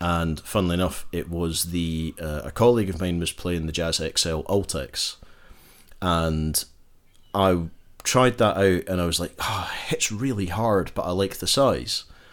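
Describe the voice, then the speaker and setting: A man's very deep, low voice with a Glaswegian accent, fairly slow pace and ordinary pitch variation, on a very clean recording with a silent background. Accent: Glaswegian Scottish. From Scotland, Glasgow. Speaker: guitar pick shop owner and musician. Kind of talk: casual interview chat.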